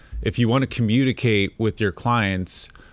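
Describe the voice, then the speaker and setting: This man uses a normal speaking voice, pitched medium. He keeps a moderate pace with fairly even intonation. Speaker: marketing team member. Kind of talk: casual chat. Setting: studio.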